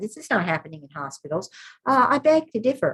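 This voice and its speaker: Somewhat breathy, a woman speaks at a very fast pace with very wide pitch swings. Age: 70s. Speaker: midwifery teacher. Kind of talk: online workshop talk. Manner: animated.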